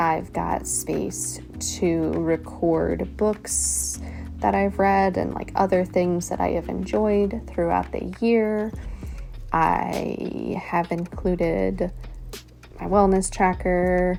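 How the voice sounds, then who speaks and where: A woman's very slow speech comes over music playing in the background. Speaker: bullet journaling YouTuber. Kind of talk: casual voiceover. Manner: halting, hesitant.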